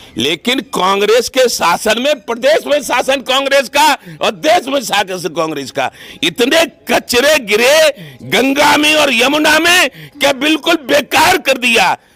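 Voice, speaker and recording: An extremely high-pitched man's raised, projected voice, animated in tone with lively intonation and very even loudness, amid noticeable background noise. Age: 70s. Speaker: farmer union leader. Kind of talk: interview.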